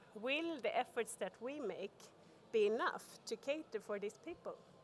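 Light background noise sits behind a woman with a high pitch. She talks at a moderate pace. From Sweden. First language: Swedish. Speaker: corporate sustainability expert; conference speaker. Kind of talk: conference talk. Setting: stage with audience. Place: hall. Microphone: podium.

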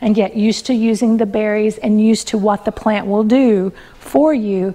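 The tone of this woman's voice is dark and mellow. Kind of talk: lecture. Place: home room.

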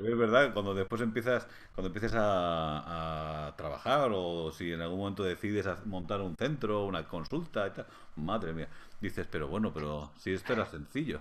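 A man speaks at a moderate pace in a very deep, low pitch. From Spain, Madrid. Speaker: physiotherapy lecturer. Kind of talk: interview conversation. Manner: halting, many hesitations. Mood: warm, smiling, relaxed. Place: home room. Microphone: video call.

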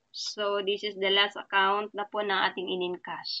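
Moving at a very slow pace, the speech carries a bright, sharp tone. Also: woman. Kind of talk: screen-share tutorial.

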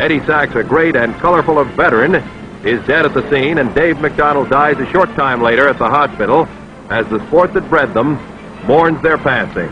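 Over music in the background, a man speaks at a fairly high pitch with very even loudness. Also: ordinary pitch variation, moderate pace. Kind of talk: newsreel narration.

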